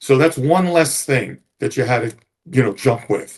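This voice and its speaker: This man's voice is fairly high and somewhat breathy, with ordinary pitch variation and a moderate pace. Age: 70s. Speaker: retired police officer. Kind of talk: interview storytelling.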